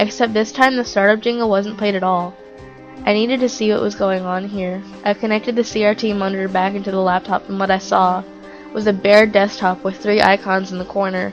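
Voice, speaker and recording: With music in the background, a woman at medium pitch talks at a fairly quick pace using fairly even intonation. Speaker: creepypasta narrator. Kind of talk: horror story narration.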